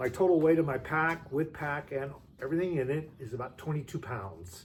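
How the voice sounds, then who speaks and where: A somewhat breathy man at fairly high pitch, with ordinary pitch variation and a fairly quick pace. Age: 60s. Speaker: hiker and vlogger. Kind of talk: gear tutorial. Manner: casual with frequent fillers.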